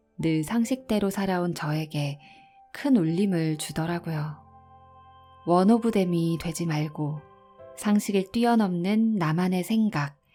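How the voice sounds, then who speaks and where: Over music in the background, a woman at medium pitch speaks very slowly in a calm, soothing tone with lively intonation. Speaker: audiobook narrator. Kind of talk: casual talk to listeners.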